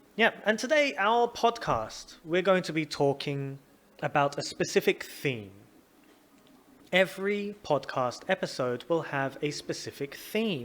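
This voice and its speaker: Speaking fairly slowly with a London accent, a man uses a high pitch with very wide pitch swings. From London, England. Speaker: English teacher and podcast host. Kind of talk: casual educational podcast monologue. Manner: animated; clear, slow for learners.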